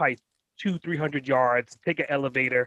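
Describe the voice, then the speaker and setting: Talking at a very fast pace, a man with a New York accent has a fairly high pitch, and the sound is dry and close with no echo. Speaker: entrepreneur. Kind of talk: interview. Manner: animated.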